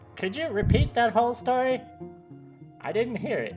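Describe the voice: Over clear background music, a put-on character voice with a fairly high pitch moves at a moderate pace.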